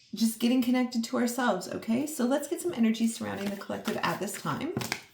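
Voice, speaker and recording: With noticeable background noise behind them, the speaker moves along at a fairly quick pace. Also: woman. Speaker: tarot reader. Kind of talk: tarot reading. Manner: frequent throat clearing; casual, chatty.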